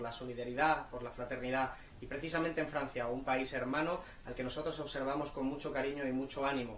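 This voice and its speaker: Over noticeable background noise and audible room echo, a man talks at a fairly quick pace with monotone, flat intonation. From Spain. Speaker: politician. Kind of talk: video message of support. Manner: fluent.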